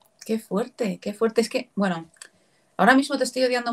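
A somewhat breathy woman's voice at a fairly quick pace, ordinary pitch variation, very clean recording, silent background. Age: 30s. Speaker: podcast host. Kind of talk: interview.

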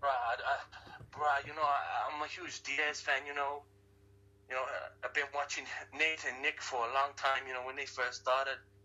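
A man speaks at a moderate pace with a fairly high pitch. His intonation is monotone and flat, with noticeable background noise behind it. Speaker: guest, wrestling and MMA fan. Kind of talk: casual interview chat. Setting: phone call from Hawaii.

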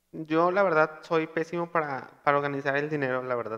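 A loud man with a slight Monterrey accent, a fairly high pitch, a bright, sharp tone and lively intonation. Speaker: podcast host. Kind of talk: casual chat.

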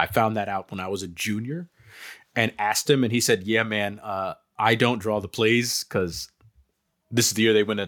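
A man with an ordinary speaking voice and an American accent talks at a moderate pace, his fairly low pitch carrying fairly even intonation. The sound is dry and close with no echo, on a very clean recording with a silent background. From New Jersey. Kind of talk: casual chat.

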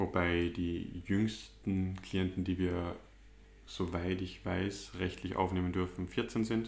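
A man speaks at a very slow pace in a very deep, low pitch. His intonation is fairly even, and there is audible room echo. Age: 20s. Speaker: psychology student and drug clinic worker. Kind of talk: interview.

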